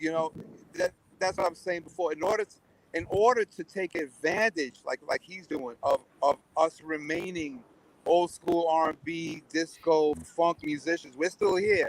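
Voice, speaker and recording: A man with a high pitch, fairly even intonation and a moderate pace, in a dry, close sound with no echo. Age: 60s. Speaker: drummer. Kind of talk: interview. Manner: halting.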